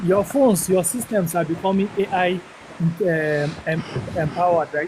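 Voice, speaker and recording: The speaker talks at a moderate pace with a northern Nigerian accent. Noticeable background noise runs behind the voice. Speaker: caller. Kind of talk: live Q&A discussion.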